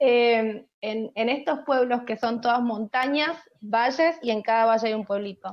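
With a Rioplatense accent, a woman speaks fairly slowly at a fairly high pitch with ordinary pitch variation. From Argentina. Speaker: podcast co-host. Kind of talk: casual interview chat.

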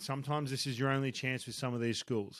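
A very fast, animated male voice in an Australian accent, bright and sharp in tone, fairly high in pitch, on a very clean recording with a silent background. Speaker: baseball coach and podcast host. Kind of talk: solo podcast advice talk.

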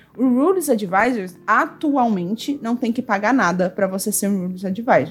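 A woman's fairly high, somewhat breathy voice with very wide pitch swings. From Brazil, Goiânia (Centre-West). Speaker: Magic card game judge and English teacher. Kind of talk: casual chat.

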